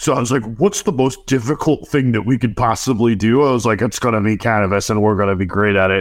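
A man with an American accent has an ordinary speaking voice, medium in pitch, with ordinary pitch variation and very even loudness. He speaks with hardly any pauses in a very clean recording against a silent background. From New Jersey. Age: 40s. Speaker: digital marketing agency owner. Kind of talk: casual interview.

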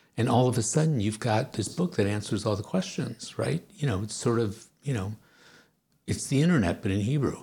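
A man with a medium pitch and a dark, mellow tone talks fairly quickly, somewhat breathy, his intonation lively. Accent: American. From US, blue-collar family. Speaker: political science professor and author. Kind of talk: interview.

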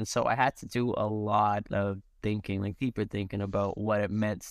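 A plain, everyday voice from a man at medium pitch and a moderate pace. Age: 30s. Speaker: product manager. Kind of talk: casual chat.

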